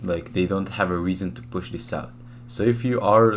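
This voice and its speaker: A soft-spoken man with a very deep, low voice at a fairly slow pace, with audible room echo. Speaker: YouTube shorts creator. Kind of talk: screen-share tutorial. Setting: home room. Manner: casual, filler-heavy.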